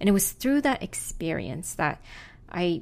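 In a plain, everyday voice, a woman speaks at a fairly slow pace with medium pitch and lively intonation on a very clean recording with a silent background. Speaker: podcast co-host. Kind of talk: scripted narration.

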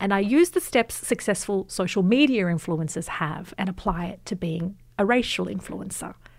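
Hardly pausing, a woman with an Australian accent talks at a moderate pace in a medium pitch with ordinary pitch variation. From Australia, Western Sydney. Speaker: journalist and author. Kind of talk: interview.

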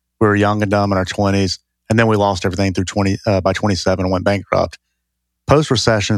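Here a man talks with a Southern US accent. His pitch sits fairly low, and his intonation stays fairly even. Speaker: real estate investor. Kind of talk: casual interview.

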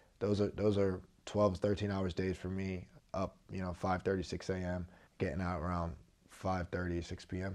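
Very deep, low male voice with an American accent, monotone and flat, at a moderate pace against a quiet background. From US Northeast (South Jersey, Philadelphia area). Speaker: pro football player. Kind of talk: interview.

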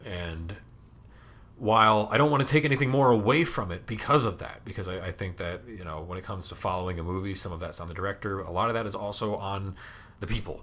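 At a very fast pace, a man with a fairly low pitch and ordinary pitch variation speaks in a bright, sharp tone, his loudness swinging widely. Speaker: college radio host. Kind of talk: casual chat. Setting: recording from his room.

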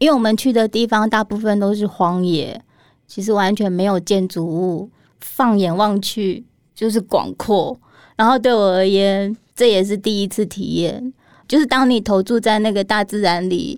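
A woman with a Taiwanese accent speaks at a moderate pace and medium pitch with fairly even intonation, on a very clean recording with a silent background. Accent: Taiwanese Mandarin. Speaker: illustrator. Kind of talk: interview.

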